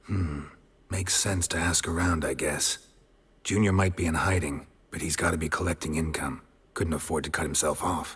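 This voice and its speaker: Using a put-on character voice, a man talks at a moderate pace with a very deep, low pitch. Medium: video game. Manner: terse, dry, low-key.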